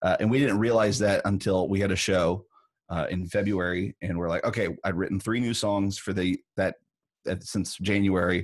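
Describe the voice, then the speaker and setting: A man with a plain, everyday voice talks at a moderate pace in a fairly low pitch with fairly even intonation against a quiet background. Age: 30s. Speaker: songwriter and musician. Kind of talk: casual interview.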